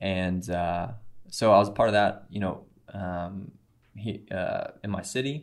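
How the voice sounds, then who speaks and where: A man with a Midwestern American accent speaks at a fairly low pitch. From US Midwest, Missouri (Cape Girardeau). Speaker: missionary, former prison minister. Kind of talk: testimony. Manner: halting, many fillers.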